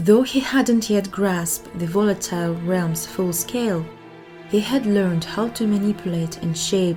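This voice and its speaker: Music plays behind a woman with a non-native accent. Her pitch is fairly low, with ordinary variation. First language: not English. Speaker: audiobook narrator. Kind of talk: reading aloud.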